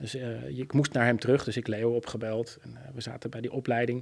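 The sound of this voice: A man with a medium pitch and vocal fry talks at a fast pace, with little pitch movement.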